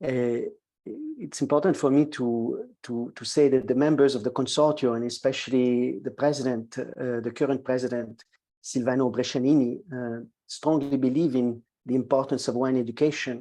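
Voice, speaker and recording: A man with a French accent speaks at a moderate pace and medium pitch. His tone is dark and mellow, his intonation fairly even. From Quebec, Montreal. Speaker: wine educator. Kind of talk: webinar lecture. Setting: live online webinar. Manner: halting, many fillers.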